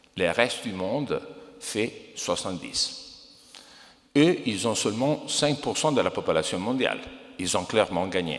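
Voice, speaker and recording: With an Italian accent, a man at medium pitch speaks fairly slowly with lively intonation and long, frequent pauses, and the room echo is audible. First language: Italian (speaking French). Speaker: investor. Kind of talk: conference talk.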